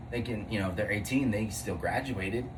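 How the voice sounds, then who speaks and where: Over noticeable background noise and audible room echo, a man with a fairly low pitch speaks at a moderate pace. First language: not English. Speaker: podcast co-host. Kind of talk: casual chat. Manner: halting.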